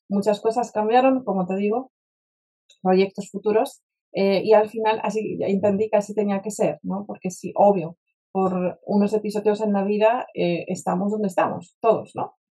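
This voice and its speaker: A woman's dark, mellow tone in a Polish accent, with fairly even intonation at a moderate pace. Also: medium pitch for a woman. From Poland, Warsaw. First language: Polish (speaking Spanish). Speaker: spiritual mentor and speaker. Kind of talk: interview conversation. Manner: direct.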